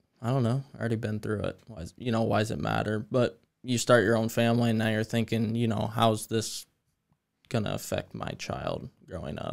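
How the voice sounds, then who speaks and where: Over a quiet background, a man with an American accent talks fairly quickly at a medium pitch, with vocal fry, fairly even intonation and big swings in loudness. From US, Greene County; US. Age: 20s. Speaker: landscape designer and first responder; podcast guest. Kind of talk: casual chat. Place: studio. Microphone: studio mic.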